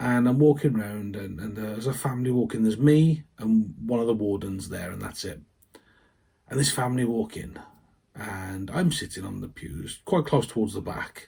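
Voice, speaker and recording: A man speaks with a dark, mellow tone that is somewhat breathy. His pitch varies in an ordinary way. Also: medium pitch for a man, moderate pace, big swings in loudness. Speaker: vicar. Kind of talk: personal testimony to camera. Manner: halting, with repetitions.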